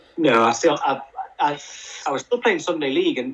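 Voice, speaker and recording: A man talks rather quickly while music plays behind him. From England, family from County Durham. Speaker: sports broadcaster. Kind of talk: casual chat. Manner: halting.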